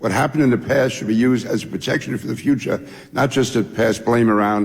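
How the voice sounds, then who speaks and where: Talking at a very fast pace with a New York accent, a man keeps a medium pitch and fairly even intonation over noticeable background noise. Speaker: former congressman. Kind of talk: congressional hearing testimony.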